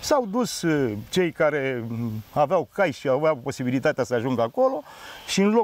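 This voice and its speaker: Very wide pitch swings mark a man's speech at a fairly slow pace. The sound is dry with no echo. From Romania, Grecești, Mehedinți; Romania. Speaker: interviewee. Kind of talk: casual interview. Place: open country. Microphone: lapel.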